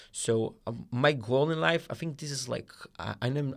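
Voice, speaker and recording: On a very clean recording with a silent background, a man speaks at a moderate pace with an Israeli accent. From Israel, Rehovot. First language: Hebrew. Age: 20s. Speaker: guest volunteer. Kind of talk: casual chat.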